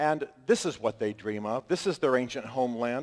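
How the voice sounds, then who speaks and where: His accent is American. The man's voice has a medium pitch. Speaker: author and speaker. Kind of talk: public talk to an audience. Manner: fast; animated.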